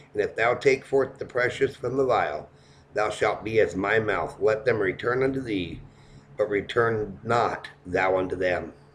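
A man speaks in a somewhat breathy voice. Light background noise runs underneath. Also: ordinary pitch variation, fairly slow pace. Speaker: preacher. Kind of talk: preacher rant; scripture reading. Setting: personal video blog. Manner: angry, indignant, emphatic; direct, preachy, exhorting. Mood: aggrieved, earnest. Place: home room. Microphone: webcam.

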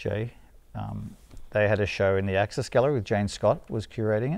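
A man with an Australian accent speaks at a fairly low pitch with ordinary pitch variation. The sound is dry, with no echo. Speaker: street artist and painter; interviewee. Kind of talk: casual interview. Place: studio. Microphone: lapel.

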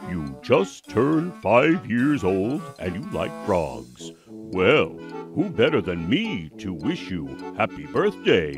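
Over clear music in the background, a man does a cartoonish character voice at a fairly low pitch and a very slow pace. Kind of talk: children's puppet show. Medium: puppet show. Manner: playful, proud, upbeat.

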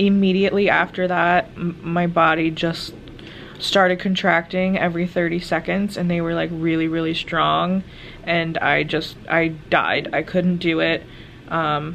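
Against light background noise, a woman with a fairly low pitch and an ordinary speaking voice talks at a fairly slow pace with fairly even intonation. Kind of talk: casual vlog chat. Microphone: phone near.

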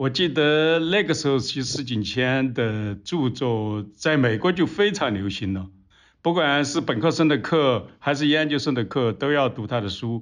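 A man's normal speaking voice at medium pitch, lively intonation and a moderate pace, over a quiet background. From Sichuan. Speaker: historian. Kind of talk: interview discussion.

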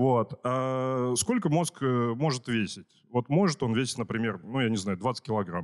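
A man talks in a normal speaking voice at a medium pitch, with ordinary pitch variation and a fairly slow pace. The background is quiet. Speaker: conference host. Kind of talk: casual chat. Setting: stage with audience. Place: hall.

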